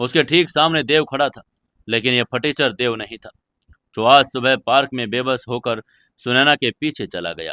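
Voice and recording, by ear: The background stays quiet. A person reads aloud in a natural voice.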